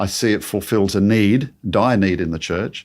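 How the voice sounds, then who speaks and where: The voice belongs to a man speaking at a moderate pace. His pitch variation is ordinary. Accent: Australian. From Australia. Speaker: creation ministry speaker. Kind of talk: interview conversation.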